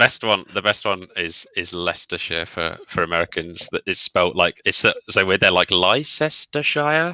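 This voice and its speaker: With a Birmingham accent, a man with a very deep, low pitch talks at a moderate pace, making very wide pitch swings and hardly any pauses. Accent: Birmingham area. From English Midlands, near Birmingham. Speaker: YouTuber. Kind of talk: casual chat. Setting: livestream video call.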